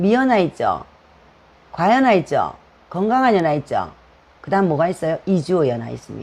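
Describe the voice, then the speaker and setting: Here a woman speaks at a medium pitch and a moderate pace. Her pitch swings very widely. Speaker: hair styling instructor. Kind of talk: live-stream lecture. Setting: live stream. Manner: casual, conversational with frequent fillers.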